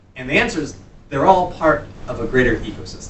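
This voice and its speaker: With an American accent, a man talks over noticeable background noise in a room with audible echo. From US East Coast. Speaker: workshop instructor, entrepreneur and consultant. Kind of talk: workshop lecture. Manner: fast.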